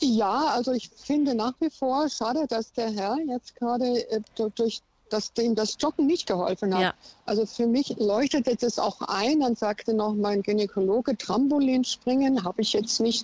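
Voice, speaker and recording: A woman's fairly high voice, a normal speaking voice, with ordinary pitch variation and very even loudness. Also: moderate pace. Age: 60s. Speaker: caller. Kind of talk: radio phone-in. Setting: phone call from a car.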